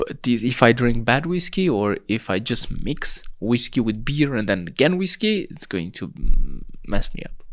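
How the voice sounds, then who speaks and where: A man with a Romanian accent, very wide pitch swings, and a very clean recording over a silent background. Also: medium pitch for a man, moderate pace. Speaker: hemp clothing entrepreneur. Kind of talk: casual interview chat.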